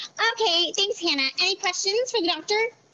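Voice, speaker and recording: A woman's squeaky, put-on character voice at an extremely high pitch and a fairly quick pace. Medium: stage play. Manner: brisk, upbeat.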